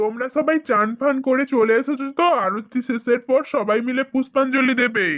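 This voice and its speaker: A cartoonish character voice pitched high carries the clip. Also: moderate pace. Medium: puppet. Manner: hurried.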